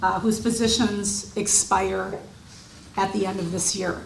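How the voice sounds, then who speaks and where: Amid noticeable background noise and audible room echo, the speech moves at a very slow pace with fairly even intonation. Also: woman. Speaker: historical society host. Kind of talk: opening remarks at a public presentation. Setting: event hall with audience, PA microphone. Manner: loud.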